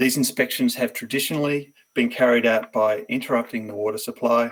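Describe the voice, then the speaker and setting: The man talks in an Australian accent at a moderate pace. His pitch sits at a medium level. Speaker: company presenter. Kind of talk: business pitch presentation.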